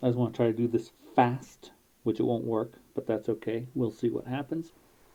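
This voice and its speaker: A man mumbles at a moderate pace and medium pitch. His tone is dark and mellow, and his intonation is monotone and flat. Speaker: amateur writer and programmer. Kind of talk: casual talk to camera. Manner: mumbles a lot.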